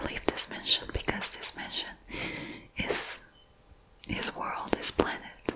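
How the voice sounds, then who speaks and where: Noise in the background is clearly audible. The voice is a whisper. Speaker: ASMR creator. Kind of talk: ASMR book haul, whispered rambling to camera. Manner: whispered, soft-spoken, relaxing.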